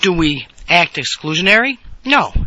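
Amid noticeable background noise, a man talks at a fairly high pitch. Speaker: podcast host. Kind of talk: solo political commentary podcast. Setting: on the road. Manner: hesitant with frequent fillers.

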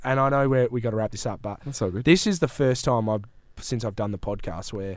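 At a moderate pace, a man speaks with an Australian accent in a very clean recording with a silent background. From Western Australia, Great Southern region. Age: 30s. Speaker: sports podcaster. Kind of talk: casual chat. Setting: studio.

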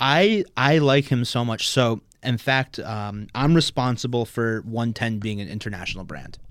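At a moderate pace and with hardly any pauses, a man talks in an unremarkable speaking voice, his medium pitch showing ordinary variation. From New Jersey (Maplewood). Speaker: competitive powerlifter. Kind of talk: casual chat.

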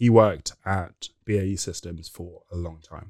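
The speaker has a London accent and ordinary pitch variation. The recording is very clean, the background silent. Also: man. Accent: British English, London. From England. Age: 30s. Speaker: former corporate senior leader. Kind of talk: casual interview chat.

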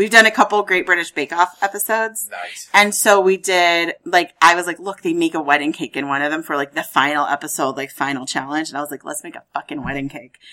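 With an American accent, a woman speaks at a very fast pace with hardly any pauses, her pitch fairly low. Her tone is bright and sharp, with ordinary pitch variation and big swings in loudness. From US Midwest (Lawrence, Kansas). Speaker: maker and content creator. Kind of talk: casual chat.

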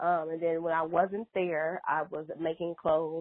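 A woman's ordinary speaking voice, fairly low in pitch, in an American accent at a moderate pace. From US Midwest, Chicago. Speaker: fashion designer. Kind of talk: interview.

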